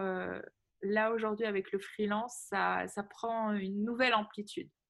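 In an ordinary speaking voice, a woman talks fairly slowly at a fairly high pitch with fairly even intonation. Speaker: podcast host. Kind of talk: interview.

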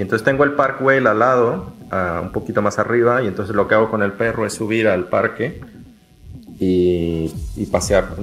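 Music plays in the background as a man talks at a moderate pace, his fairly low pitch showing ordinary variation. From Mexico, Jalisco (Lagos de Moreno). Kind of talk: casual chat.

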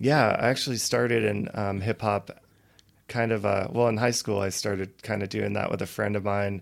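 A man with an American accent, fairly low in pitch, in a normal speaking voice at a moderate pace. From Colorado, Loveland. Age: 30s. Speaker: reggae singer and songwriter. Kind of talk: casual chat.

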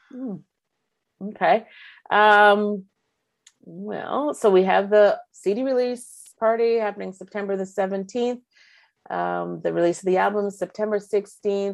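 A woman with a Canadian accent speaks at a medium pitch and a fairly slow pace, with fairly even intonation. Long, frequent pauses break up her speech. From Ontario, Canada (Markham). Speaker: singer-songwriter. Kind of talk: interview. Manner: halting.

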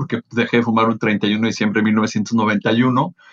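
The recording is dry and close with no echo, carrying a plain, everyday voice at a fairly slow pace. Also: man. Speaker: event producer and motivational speaker. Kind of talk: casual interview.

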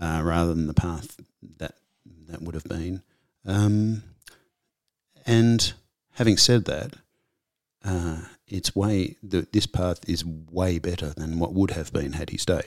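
In a very clean recording with a silent background, a man with an Australian accent speaks very slowly at a very deep, low pitch, with ordinary pitch variation and long, frequent pauses. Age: 50s. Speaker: comedian and actor. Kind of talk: casual interview. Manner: halting, repeats words.

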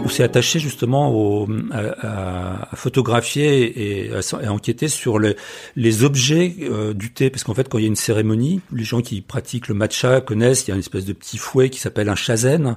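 A man speaks at a moderate pace in a medium pitch, his voice somewhat breathy, with ordinary pitch variation. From France. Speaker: travel photographer and author. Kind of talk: casual chat. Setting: at home. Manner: halting.

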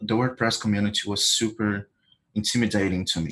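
A man with a Brazilian accent speaks at a medium pitch. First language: Portuguese. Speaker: WordPress plugin developer. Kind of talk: interview.

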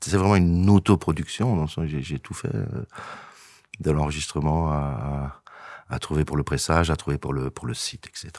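A man's very deep, low voice with ordinary pitch variation at a fairly slow pace, the sound dry and close with no echo. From Belgium, Verviers. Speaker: singer-songwriter. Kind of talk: interview. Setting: studio. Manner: halting.

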